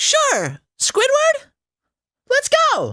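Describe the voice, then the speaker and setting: A man performs a put-on character voice. It sounds squeaky. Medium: game stream.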